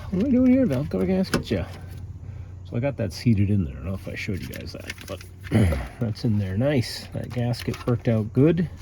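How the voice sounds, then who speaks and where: Over noticeable background noise, a man with a fairly low pitch speaks at a fairly quick pace with lively intonation. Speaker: DIY car repair YouTuber. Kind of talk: casual how-to vlog narration. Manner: casual, hesitant with fillers; whispering.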